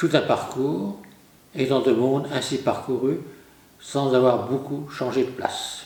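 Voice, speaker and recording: A man of medium pitch at a very slow pace, with long, frequent pauses, very even loudness and audible room echo. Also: ordinary pitch variation. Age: 80s+. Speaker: Dominican priest and retired lecturer. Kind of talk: lecture.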